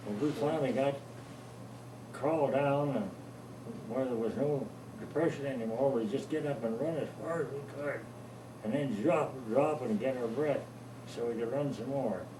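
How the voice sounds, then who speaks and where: A man with an American accent at a medium pitch and moderate pace, with long, frequent pauses and noticeable background noise. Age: 80s+. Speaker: war veteran; farmer. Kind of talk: interview answer.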